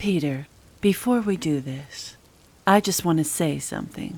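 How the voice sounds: A woman's put-on character voice, low-pitched and fairly slow, with a slightly husky edge, a slightly mellow tone and ordinary pitch variation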